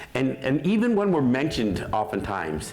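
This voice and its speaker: Animated speech at a moderate pace with an American accent, very wide pitch swings, audible room echo and noticeable background noise. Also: man. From Mohawk, Six Nations area, Western New York. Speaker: Native activist and radio host. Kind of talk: talk at a teach-in. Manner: loud.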